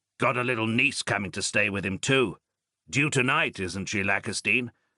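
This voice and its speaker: A man's growling, put-on character voice at medium pitch, with ordinary pitch variation and a moderate pace, against a quiet background. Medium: read story. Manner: clipped, soldierly, drops words, joking.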